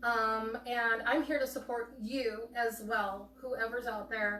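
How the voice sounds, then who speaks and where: Noticeable noise sits in the background. A woman speaks very slowly in a high pitch. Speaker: nonprofit founder living with fibromyalgia. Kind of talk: livestream talk. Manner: hesitant, many fillers.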